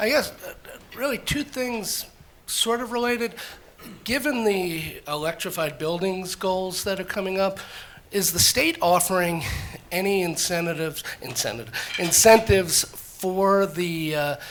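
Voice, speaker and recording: A woman's lively intonation at a fairly slow pace, over noticeable background noise. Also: medium pitch for a woman. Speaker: audience member asking a question. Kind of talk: audience question. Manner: loud.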